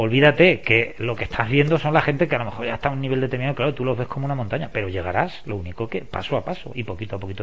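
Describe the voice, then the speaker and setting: A man with a medium pitch talks at a very fast pace. His voice is somewhat breathy, with lively intonation. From Spain, La Mancha (Valdepeñas). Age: 50s. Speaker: sports coach. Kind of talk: interview.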